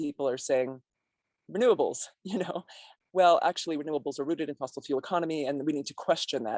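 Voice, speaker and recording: A woman with an American accent speaks at a very fast pace in a very deep, low pitch with ordinary pitch variation, the sound dry and close with no echo. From Colorado and small-town Texas. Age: 50s. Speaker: scholar and activist. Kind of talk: interview conversation. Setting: in person. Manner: halting, many fillers.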